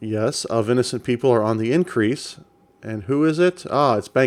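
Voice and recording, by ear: Someone is reading aloud in a natural voice. Their pitch varies in an ordinary way.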